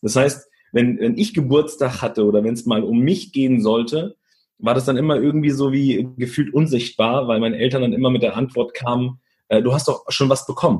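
At a fairly quick pace, a man speaks in a somewhat breathy, medium-pitched voice with ordinary pitch variation. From Germany, Italian immigrant family. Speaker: leadership speaker. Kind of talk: interview.

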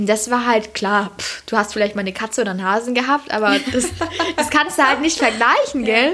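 Over noticeable background noise, a woman with fairly high pitch talks at a fairly quick pace with ordinary pitch variation. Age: 20s. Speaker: nurse on parental leave, social media creator. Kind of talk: casual chat. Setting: at host's home.

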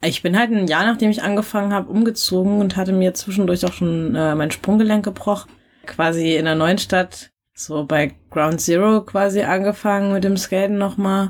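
A woman with a normal speaking voice talks at a moderate pace and medium pitch, her loudness very even. The recording is very clean, with a silent background. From rural Germany. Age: 20s. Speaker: skateboarder. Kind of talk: casual interview.

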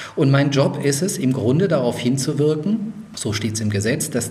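Room echo is audible and background noise is noticeable as a man speaks. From Lower Franconia, Germany. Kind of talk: interview.

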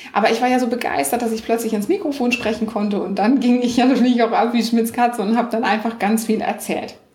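A woman with a fairly high voice speaks at a very fast pace with ordinary pitch variation, amid audible room echo and noticeable background noise. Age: 40s. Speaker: online business coach and podcaster. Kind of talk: interview.

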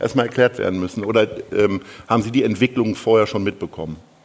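A man's medium-pitched voice with lively intonation at a fairly quick pace, over noticeable background noise. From Lower Saxony, northern Germany. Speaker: event host and interviewer. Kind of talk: onstage interview. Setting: theatre stage with audience.

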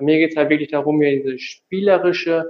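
Fairly even intonation in a normal speaking voice. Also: man. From North Rhine-Westphalia, Tecklenburg. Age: 20s. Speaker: physiotherapist. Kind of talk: interview.

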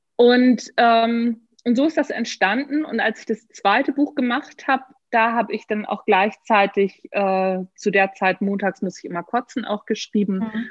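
At a fairly slow pace, a woman uses a normal speaking voice, her fairly high pitch showing ordinary variation. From northern Germany. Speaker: author and management trainer. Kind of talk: casual interview. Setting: video call.

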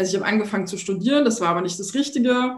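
Amid audible room echo, a woman speaks at a fairly high pitch with ordinary variation, her voice somewhat breathy. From Thuringia, eastern Germany. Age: 40s. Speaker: entrepreneur and branding coach. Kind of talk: podcast interview.

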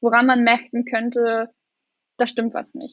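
A woman's high-pitched voice. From eastern Germany, Lusatia (Brandenburg). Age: young. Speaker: young political candidate. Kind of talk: interview.

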